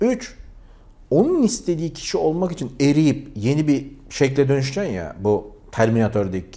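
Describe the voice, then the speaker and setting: Here a man talks at a moderate pace in a fairly high pitch with a dark, mellow tone. His voice makes very wide pitch swings and big swings in loudness. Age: 40s. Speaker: YouTuber. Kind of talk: vlog monologue.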